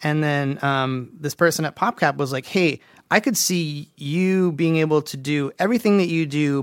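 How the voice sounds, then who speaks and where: In an ordinary speaking voice, a man talks at a fairly high pitch and with ordinary pitch variation. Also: dry, close sound with no echo, very clean recording, silent background. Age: 40s. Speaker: game audio director, guest. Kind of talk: casual chat. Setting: studio.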